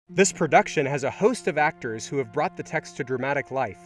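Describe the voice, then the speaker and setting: A man's fairly high-pitched voice at a fairly quick pace, with lively intonation and music in the background. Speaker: author and audiobook narrator. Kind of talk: author's introduction.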